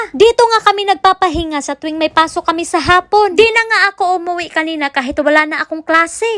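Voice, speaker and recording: A woman with an extremely high voice talks very fast with hardly any pauses and ordinary pitch variation, in a dry, close sound with no echo and with noticeable background noise. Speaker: vlogger, school music teacher working abroad. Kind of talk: vlog narration.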